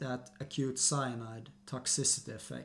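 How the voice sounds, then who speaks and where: A man talks with a Swedish accent. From Sweden. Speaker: health and nutrition youtuber. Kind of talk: educational monologue. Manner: animated.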